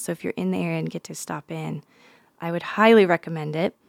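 A woman with an American accent and an ordinary speaking voice, fairly low in pitch and fairly quick, in a dry, close, very clean recording with a silent background and no echo. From Nevada. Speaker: podcast host. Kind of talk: casual interview. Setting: studio.

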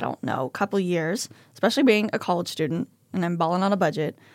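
A woman with an unremarkable speaking voice and medium pitch talks at a fairly quick pace with lively intonation, on a very clean recording with a silent background and a dry, close sound with no echo. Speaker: college student. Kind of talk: casual chat. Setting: studio.

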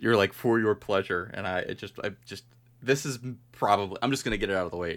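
A man has a normal speaking voice, fairly low in pitch, with ordinary pitch variation. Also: very clean recording, silent background. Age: 20s. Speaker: podcast co-host. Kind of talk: casual chat.

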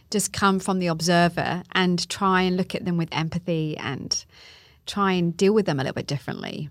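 An unremarkable speaking voice at a moderate pace, with fairly even intonation, on a very clean recording with a silent background. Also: woman, fairly low pitch for a woman. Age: 40s. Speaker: life coach. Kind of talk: casual interview chat.

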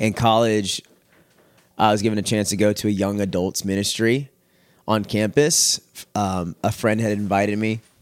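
A man with an American accent speaks at a moderate pace in a fairly low pitch, his intonation monotone and flat, with long, frequent pauses. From Texas, Houston area. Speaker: former youth pastor. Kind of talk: testimony. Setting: at home, dog in background.

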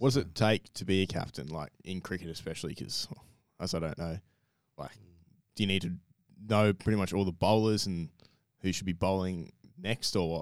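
A man with an Australian accent speaks at a fairly quick pace in a very deep, low voice, with ordinary pitch variation and long, frequent pauses. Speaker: podcast co-host. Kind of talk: casual chat.

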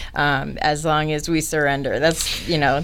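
A woman's very deep, low voice with an American accent, with audible echo in the room. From Florida (Orlando). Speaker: cleaning business owner. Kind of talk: interview. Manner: halting, many fillers.

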